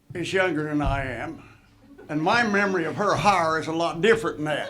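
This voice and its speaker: With audible room echo and noticeable background noise, a man speaks at a moderate pace in a high pitch with ordinary pitch variation. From Indiana, near Chicago. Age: 80s+. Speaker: retired basketball coach, inductee. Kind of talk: acceptance speech.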